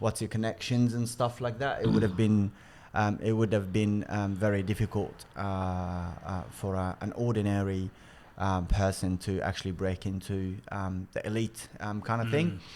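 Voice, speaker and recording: A man with an Arabic accent talks at a moderate pace in a fairly low pitch. His intonation stays fairly even. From Egypt. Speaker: sports nonprofit CEO. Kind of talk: podcast interview. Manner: halting, many fillers.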